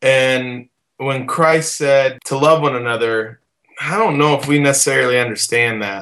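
A man speaks at a moderate pace with an American accent. His pitch is medium, and his tone is bright and sharp. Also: ordinary pitch variation. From Southern Illinois. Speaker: band frontman and singer. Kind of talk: casual interview chat. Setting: online video call.

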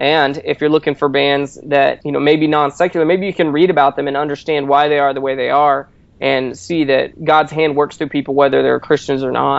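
Speaking at a fairly quick pace with hardly any pauses, a man uses fairly even intonation and a fairly high pitch in an unremarkable speaking voice. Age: 30s. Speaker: magazine editor. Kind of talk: interview.

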